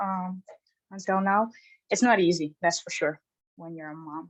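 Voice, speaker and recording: The voice has lively intonation and a dry, close sound with no echo. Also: woman. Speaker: telecom RF engineer. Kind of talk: webinar comment. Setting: online webinar. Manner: halting, many fillers.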